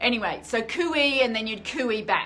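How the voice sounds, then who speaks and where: An animated woman speaks with a fairly high pitch. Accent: Australian. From Australia, grew up in the bush. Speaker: author and self-publishing vlogger. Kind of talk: live stream chat. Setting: live stream.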